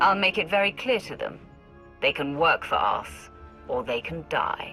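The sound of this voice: A woman's put-on character voice, low-pitched with a bright, sharp tone, lively intonation and a fairly slow pace, over faint music in the background.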